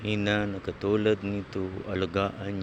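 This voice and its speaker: Over noticeable background noise, a man with a fairly low voice talks very slowly in a flat, monotone delivery. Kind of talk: vlog narration.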